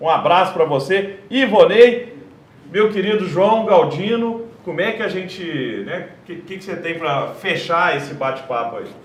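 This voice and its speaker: A man talks at a fairly slow pace with high pitch, lively intonation and big swings in loudness. Noticeable background noise and audible room echo fill the recording. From Brazil, Minas Gerais (Triângulo Mineiro, Araguari). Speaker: tech entrepreneur and panel moderator. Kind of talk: live panel talk with sales pitch. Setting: live event stage.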